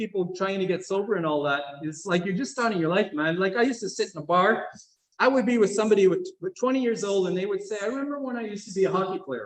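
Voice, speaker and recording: Audible room echo follows a man who speaks very fast with ordinary pitch variation. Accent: American. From US Northeast, Mohawk family. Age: 60s. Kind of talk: conference talk. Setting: session with live and Zoom audience. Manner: halting, many fillers.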